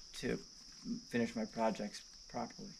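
A man talks at a fairly quick pace against light background noise. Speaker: homeowner woodworking vlogger. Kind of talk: casual vlog chat. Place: open country.

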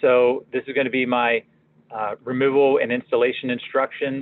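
At a moderate pace, a man speaks with an American accent in a dry sound with no echo. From Pittsburgh, Pennsylvania. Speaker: product marketing manager; presenter. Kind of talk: software demo tutorial. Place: office. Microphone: webcam.

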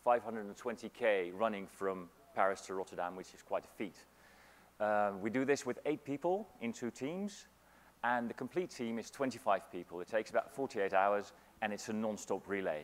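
In a normal speaking voice, a man talks at a moderate pace, his fairly low pitch varying in an ordinary way. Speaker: keynote speaker. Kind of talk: conference keynote. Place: hall. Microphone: lapel.

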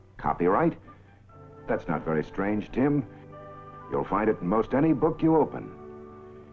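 Clear music plays behind a man speaking at a moderate pace. His pitch is medium but swings very widely. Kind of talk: documentary newsreel narration. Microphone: old recording.

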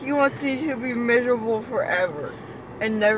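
The sound is dry, with no echo, though background noise is noticeable. A woman speaks at a moderate pace. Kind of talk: casual complaining chat. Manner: groggy, numb-mouthed post-surgery slur. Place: car. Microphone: phone near.

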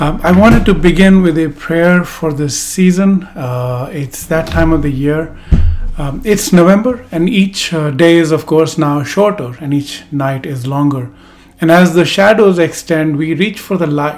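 Faint music sits in the background. A man talks at a fairly slow pace. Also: ordinary pitch variation. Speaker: speaker. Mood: calm, warm. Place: home room.

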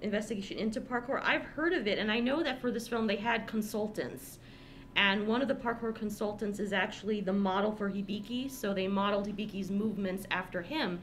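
Light background noise sits behind a woman's voice. Her pitch variation is ordinary. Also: fairly quick pace. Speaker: podcast co-host. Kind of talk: casual podcast discussion. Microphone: studio mic.

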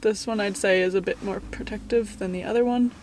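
A woman speaks with ordinary pitch variation. The sound is dry with no echo, and there is light background noise. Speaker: lifestyle vlogger. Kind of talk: casual vlog chat, sponsor segment. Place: car. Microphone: phone near.

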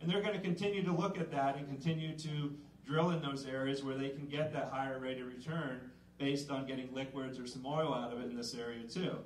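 Against light background noise and audible room echo, a man with a fairly high pitch speaks at a fairly quick pace with ordinary pitch variation. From central Pennsylvania. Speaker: extension educator. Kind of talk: public presentation. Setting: room with live audience. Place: hall.

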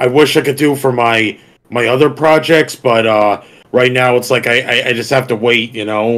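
An ordinary speaking voice in an American accent. It moves at a moderate pace with fairly even intonation. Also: man. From New Jersey. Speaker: webcomic creator. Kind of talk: casual chat.

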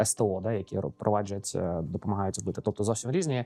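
This man talks at a moderate pace in a fairly low voice, his tone dark and mellow and his intonation fairly even. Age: 40s. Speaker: podcast host, IT entrepreneur. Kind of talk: casual interview. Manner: halting.

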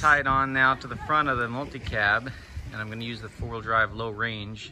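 Noticeable background noise sits under a man's voice, dry with no echo. He speaks at a moderate pace with ordinary pitch variation. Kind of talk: casual vlog narration and instructions. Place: beach. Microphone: phone near.

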